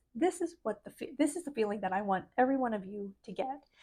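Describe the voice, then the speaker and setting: A woman speaks softly in a high voice with lively intonation. The background is quiet. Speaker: spiritual life coach vlogger. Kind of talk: motivational vlog talk. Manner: soft-spoken.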